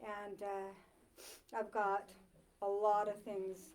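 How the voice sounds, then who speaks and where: Speaking with an American accent, a woman keeps her voice fairly high in pitch. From Maine, US (Dover-Foxcroft). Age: 60s. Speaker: author. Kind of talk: author talk to a library audience. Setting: library talk with live audience. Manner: animated, with many fillers and restarts.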